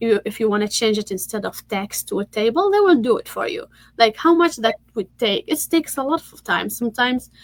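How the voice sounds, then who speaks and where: A woman speaks with fairly high pitch, ordinary pitch variation and vocal fry. The sound is dry and close, with no echo. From Tunisia. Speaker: tech entrepreneur and workshop speaker. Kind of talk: online workshop presentation. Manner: halting, many fillers and repeats.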